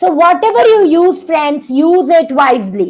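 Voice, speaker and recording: A woman speaks in an animated tone at a fairly slow pace. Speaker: doctor giving a health webinar. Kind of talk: online masterclass webinar. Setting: online video session. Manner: loud; animated, engaging the audience.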